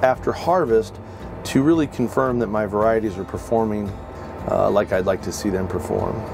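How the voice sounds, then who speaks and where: Clear background music behind a male voice. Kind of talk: tutorial. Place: farm machine.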